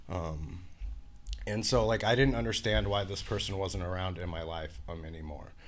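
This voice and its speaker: Lively intonation and vocal fry in a Pacific Northwest accent, at a moderate pace with audible room echo. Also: man, very deep, low pitch for a man. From Washington state, US. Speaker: person in addiction recovery. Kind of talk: interview testimony. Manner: many fillers, hesitant.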